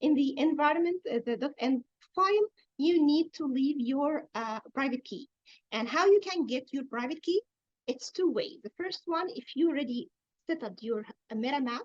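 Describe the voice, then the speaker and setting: A woman with an Arabic accent speaks at a moderate pace in a high voice, her intonation lively and her loudness swinging widely. The sound is dry and close, with no echo. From Egypt. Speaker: blockchain developer and workshop instructor. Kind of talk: technical tutorial. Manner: halting with many fillers.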